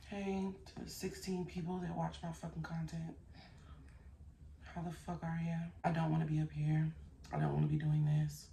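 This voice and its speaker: A woman speaks with long, frequent pauses. Audible room echo surrounds her voice. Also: moderate pace. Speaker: YouTube commentary host. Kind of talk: casual vlog chat. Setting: hotel room. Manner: casual, rambling.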